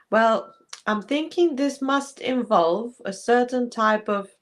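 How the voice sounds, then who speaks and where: At a very slow pace, a woman with a non-native accent speaks in a fairly high pitch with ordinary pitch variation. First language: not English. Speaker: podcast co-host. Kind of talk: casual chat.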